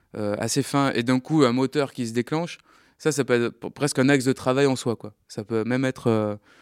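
The very clean recording, with a silent background and a dry, close sound with no echo, carries a man speaking fairly quickly with fairly even intonation. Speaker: sound workshop trainer, radio producer. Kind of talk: workshop instruction. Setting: recording studio workshop. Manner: loud.

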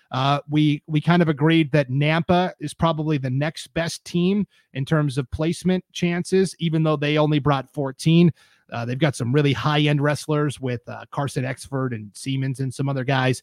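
A normal speaking voice with fairly even intonation at a moderate pace, dry and close with no echo, in a very clean recording with a silent background. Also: man, fairly high pitch for a man. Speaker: podcast host. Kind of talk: casual sports podcast discussion. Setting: live-streamed studio broadcast.

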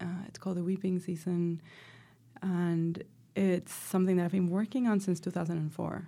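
With a Spanish accent, a woman speaks at a moderate pace in a fairly low voice of dark, mellow tone, her intonation monotone and flat. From Venezuela (Caracas), moved to the US at sixteen. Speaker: professor and filmmaker. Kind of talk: interview. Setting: studio.

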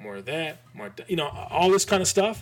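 In an American accent, a man speaks with an animated tone. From Michigan. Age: 40s. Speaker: graphic designer. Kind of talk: casual chat.

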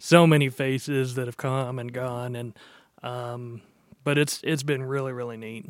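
With an American accent, a man speaks at a moderate pace and medium pitch, his intonation monotone and flat while his loudness swings widely. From Texas, Dallas-Fort Worth. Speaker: church music director. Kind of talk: casual chat. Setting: church worship center.

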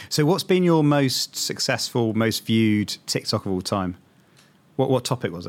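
In a very clean recording with a silent background, a man with a British accent speaks at a medium pitch and moderate pace with lively intonation. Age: 40s. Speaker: podcast host, marketer. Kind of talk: casual chat.

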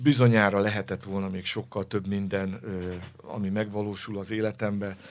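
The speaker moves at a moderate pace, with pitch varying in an ordinary way. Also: man. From Hungary, Pest county village. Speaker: orchestral cellist. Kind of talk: interview. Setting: studio. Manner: hesitant, repeats words.

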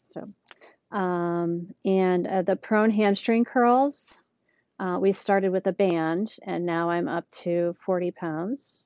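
A woman at medium pitch talks very slowly, her pitch varying in an ordinary way. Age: 40s. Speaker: patient sharing recovery story. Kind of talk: interview.

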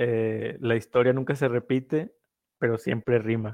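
In monotone, flat intonation, a man speaks at a medium pitch and a fairly slow pace. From northern Mexico. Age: 20s. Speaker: investor, social media educator. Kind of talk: casual interview.

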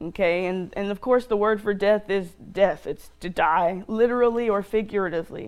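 Reading in an unforced voice.

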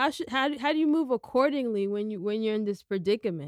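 A woman with an American accent and an unremarkable speaking voice talks at medium pitch with lively intonation, in a very clean recording with a silent background and a dry, close sound with no echo. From United States. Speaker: podcast host. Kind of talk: interview.

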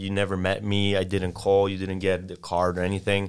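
A man with a Polish accent. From Poland. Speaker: sales consultant. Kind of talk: podcast interview with role-play. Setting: studio.

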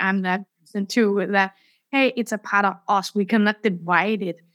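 A woman's plain, everyday voice at medium pitch and a moderate pace, with a dry, close sound and no echo. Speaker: podcast host. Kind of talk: interview. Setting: remote recording, host mic problem.

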